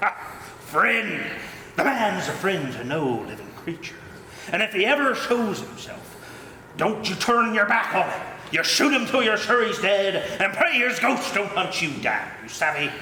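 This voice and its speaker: A man's put-on character voice, high-pitched, at a moderate pace, with clear echo. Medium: stage play. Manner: gruff, bullying, shouting.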